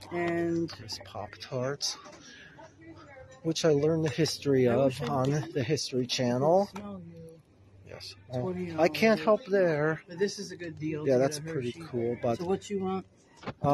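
A woman speaks with a very deep, low pitch at a fairly slow pace, leaving long, frequent pauses. The sound is dry with no echo, and background noise is noticeable. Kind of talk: casual vlog chat. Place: shop. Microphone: phone near.

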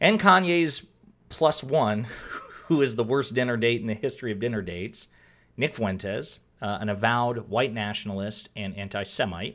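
Behind the speech, the background is quiet. The man keeps a moderate pace, and his pitch variation is ordinary. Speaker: political commentator. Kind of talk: commentary. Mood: wry, sarcastic. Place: home room.

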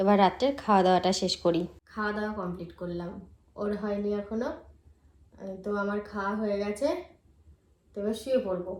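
The woman's pitch sits in the medium range. Her intonation is fairly even. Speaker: vlogger. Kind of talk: casual vlog narration.

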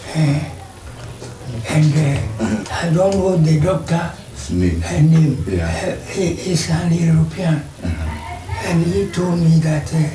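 The speech comes at a very slow pace against noticeable background noise. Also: man. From Ghana. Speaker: retired police officer, eyewitness. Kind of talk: interview answer. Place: home room.

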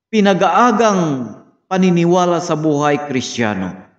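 The voice swings very widely in pitch against a quiet background, with audible room echo. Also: man. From Philippines. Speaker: Bible study teacher. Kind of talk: sermon, Bible lesson review with prayer. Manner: formal, earnest, slow with frequent 'uh' fillers; preacherly, exhorting, direct address to 'friends and brothers'. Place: home room. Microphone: phone near.

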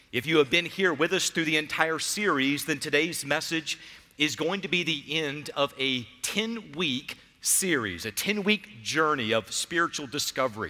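At a moderate pace, the voice carries a bright, sharp tone. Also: man. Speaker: pastor. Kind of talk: sermon. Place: church. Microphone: headset.

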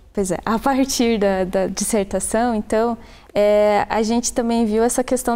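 A woman's fairly high voice, dark and mellow in tone, with fairly even intonation. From Brazil, Antonina, Paraná coast; Paraná, Brazil. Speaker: tourism researcher; guest. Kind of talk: interview. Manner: halting. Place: studio. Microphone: lapel.

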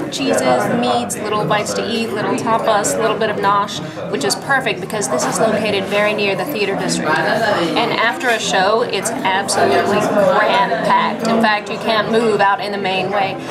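The speech moves at a moderate pace with ordinary pitch variation and hardly any pauses. Loud background noise runs throughout. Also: woman. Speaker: travel show host. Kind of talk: travel show commentary. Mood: warm, chatty, intimate. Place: bar. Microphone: phone near.

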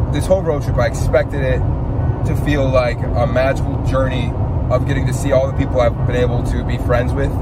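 A man talking at a fairly quick pace, dry sound with no echo, music in the background. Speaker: vlogger. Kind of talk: casual vlog chat. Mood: reflective, slightly weary. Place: car. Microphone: phone near.

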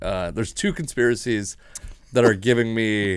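A man with an American accent speaks against a quiet background, the sound dry with no echo. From Washington state, US. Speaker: comedian and podcast host; comedian, podcast host. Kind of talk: casual chat. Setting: home studio. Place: studio. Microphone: studio mic.

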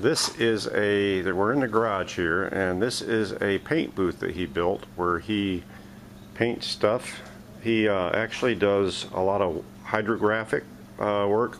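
A man's fairly low voice at a very slow pace, with ordinary pitch variation and light background noise. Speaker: hobby channel host. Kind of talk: casual vlog chat. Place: garage. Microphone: phone near.

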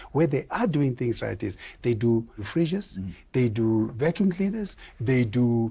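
A man speaks at a fairly slow pace with a somewhat breathy voice. His intonation is lively. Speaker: guest. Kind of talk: interview answer. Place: studio. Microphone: lapel.

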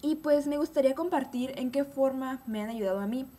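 A woman with a high pitch speaks at a fairly quick pace with ordinary pitch variation. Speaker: beauty vlogger. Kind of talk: unscripted vlog monologue. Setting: at home. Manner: fast; hesitant, many fillers. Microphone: webcam.

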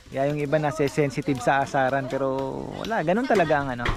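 Speech rushes at a very fast pace over noticeable background noise. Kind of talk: casual vlog narration.

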